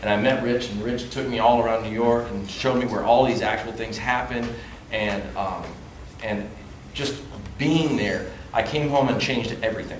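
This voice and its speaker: Amid noticeable background noise and audible room echo, a man speaks at a moderate pace with fairly even intonation and long, frequent pauses. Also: medium pitch for a man. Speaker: film actor. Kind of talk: festival panel discussion.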